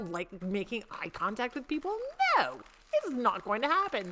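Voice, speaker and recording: An animated woman speaks at a fairly high pitch with very wide pitch swings. Noticeable background noise runs behind her. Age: 50s. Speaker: podcast host. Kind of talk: casual chat.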